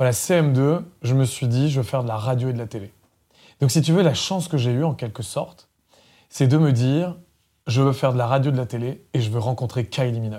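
In a very clean recording with a silent background, a man with a dark, mellow, somewhat breathy tone talks at a fairly quick pace, with ordinary pitch variation and long, frequent pauses. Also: medium pitch for a man. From France, Loiret countryside. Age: 40s. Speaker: former radio programme director. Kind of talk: interview. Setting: studio.

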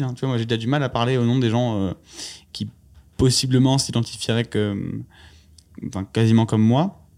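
Recorded very cleanly against a silent background, a man with a dark, mellow tone speaks at medium pitch and a moderate pace, with ordinary pitch variation. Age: 20s. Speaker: startup founder and CEO. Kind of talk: interview conversation. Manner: halting, many fillers and repetitions.

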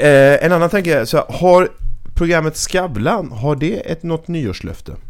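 Intonation here is lively. The pace is fairly slow. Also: man, high pitch for a man. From Sweden, Växjö, Småland. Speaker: podcast host. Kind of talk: casual chat.

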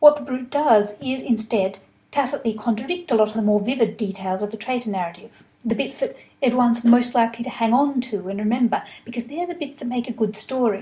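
A woman speaks at a fairly quick pace with an Australian accent, her fairly high pitch showing ordinary variation. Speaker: historian. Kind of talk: lecture.

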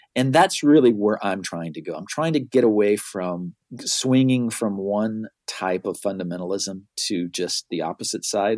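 Lively intonation from a man with a normal speaking voice, fairly low in pitch, at a moderate pace. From US South and Miami, moved around. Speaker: marketing expert, author, podcaster. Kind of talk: casual interview conversation.

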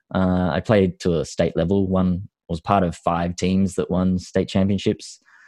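A man with an Australian accent speaks fairly slowly at a very deep, low pitch, his tone dark and mellow, his intonation monotone and flat, his loudness very even, in a dry, close sound with no echo and a quiet background. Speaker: actor. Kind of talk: interview about personal story.

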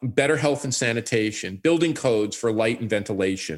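A man with an American accent and a plain, everyday voice, at a moderate pace with ordinary pitch variation, on a very clean recording against a silent background. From New York. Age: 60s. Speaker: urbanist. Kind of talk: interview.

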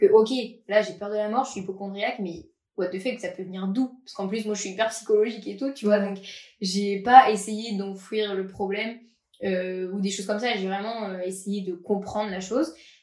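A woman speaks at medium pitch and a moderate pace. Her intonation stays fairly even while her loudness swings widely. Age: 20s. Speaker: podcast guest sharing personal story. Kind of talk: personal testimony interview. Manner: casual, hesitant with many fillers.

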